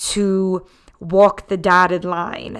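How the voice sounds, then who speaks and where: In a very clean recording with a silent background, a woman with a Philadelphia accent speaks very slowly at medium pitch with fairly even intonation. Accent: Philadelphia American. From Philadelphia, US. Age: 30s. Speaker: podcast host and writer. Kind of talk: solo podcast monologue.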